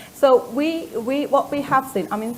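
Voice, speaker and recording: A woman with an Iranian accent over noticeable background noise. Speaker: company founder, former research scientist. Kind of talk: panel discussion. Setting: stage with audience. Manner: halting.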